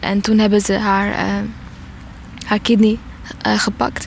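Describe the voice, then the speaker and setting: A woman at a medium pitch with monotone, flat intonation and a moderate pace, over noticeable background noise. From Eritrea. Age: 20s. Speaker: refugee and theatre student. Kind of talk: interview testimony.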